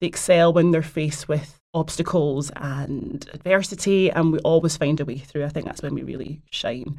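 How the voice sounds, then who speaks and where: A woman in a Glaswegian accent, very deep and low in pitch, with fairly even intonation and a moderate pace. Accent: Glaswegian Scottish. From Scotland, Glasgow. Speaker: actor and producer. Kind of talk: casual interview.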